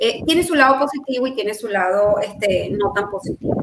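A woman talks at a high pitch. Her pitch variation is ordinary. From Venezuela (born in Colombia, left at seven). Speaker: sexologist. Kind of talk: expert interview. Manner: animated.

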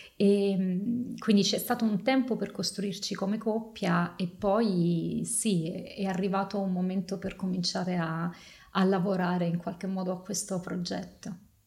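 Somewhat breathy, a woman speaks at medium pitch with fairly even intonation and a fairly slow pace. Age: 40s. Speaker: photography curator and adoptive mother. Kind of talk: podcast interview. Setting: studio, on video.

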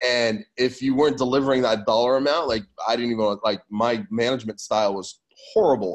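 With an American accent and a normal speaking voice, a man talks at a fairly quick pace, his medium pitch showing ordinary pitch variation. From California. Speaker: fitness business consultant. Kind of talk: casual chat.

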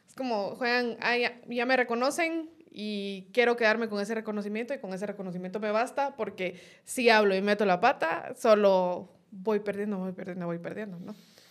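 A woman with a plain, everyday voice speaks at a moderate pace and a fairly high pitch, with ordinary pitch variation and big swings in loudness, in a very clean recording with a silent background. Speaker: political analyst. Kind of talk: casual political discussion. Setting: studio.

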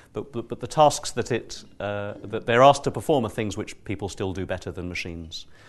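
Against a quiet background, a man with a fairly low pitch uses an unremarkable speaking voice with ordinary pitch variation. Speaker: neuroscientist and event moderator. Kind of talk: moderating a panel event. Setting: live event with audience.

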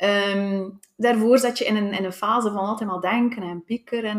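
This woman speaks at a medium pitch and a moderate pace. Her intonation stays fairly even. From Belgium, West Flanders (Tielt). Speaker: physiotherapist. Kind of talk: interview testimony. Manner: halting, many fillers.

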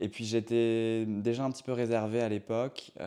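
This voice has a dark, mellow tone and moves along at a moderate speed. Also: man. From Brittany, France. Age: 30s. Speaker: professional dancer. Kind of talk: interview. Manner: hesitant, many fillers.

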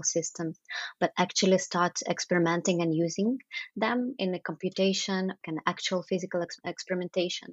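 A woman in a Russian accent, medium pitch, fairly even intonation. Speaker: architect and artist. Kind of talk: interview. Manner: hesitant, many fillers.

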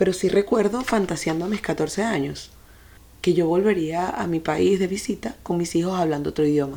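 At a fairly quick pace, a woman speaks in a dark, mellow tone marked by vocal fry. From Venezuela. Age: 40s. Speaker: podcast host, life and sex coach. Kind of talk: personal monologue.

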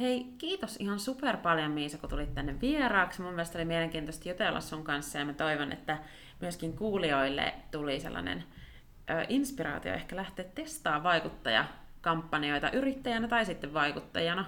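Speaking at a moderate pace, a woman with a fairly low pitch makes very wide swings in pitch. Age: young. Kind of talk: casual interview. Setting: studio.

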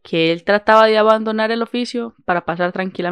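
A passage read aloud in a natural voice

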